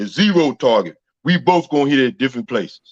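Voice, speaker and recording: A man speaks with a Southern US accent at a moderate pace. The sound is dry and close, with no echo. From US South. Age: 50s. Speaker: retired army sergeant major. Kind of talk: interview.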